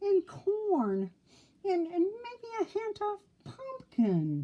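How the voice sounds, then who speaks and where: A squeaky, put-on character voice sits at an extremely high pitch. The pace is very slow. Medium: read story.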